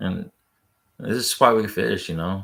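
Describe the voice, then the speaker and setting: A man speaks in a soft-spoken way. His pace is fairly slow. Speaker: fishing vlogger. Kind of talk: casual chat. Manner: monotone.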